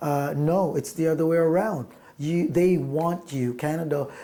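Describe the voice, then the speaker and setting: Someone speaks at a fairly slow pace with a Filipino accent. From Philippines. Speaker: musician. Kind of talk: interview. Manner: halting, many fillers.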